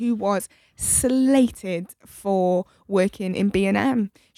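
With a British accent, a woman is heard on a very clean recording with a silent background and a dry, close sound with no echo. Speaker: podcast host.

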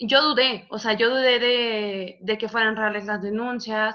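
With a plain, everyday voice, a woman speaks at a moderate pace, fairly high in pitch and with fairly even intonation. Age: 20s. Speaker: psychology student. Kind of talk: casual chat.

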